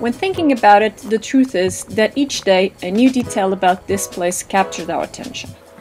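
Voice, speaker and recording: A woman talks with lively intonation while music plays in the background. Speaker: travel vlog narrator. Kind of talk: documentary narration.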